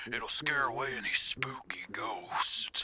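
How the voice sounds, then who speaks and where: A man puts on a raspy, cartoonish character voice. He talks at a fairly slow pace and medium pitch. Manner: creepy, insistent.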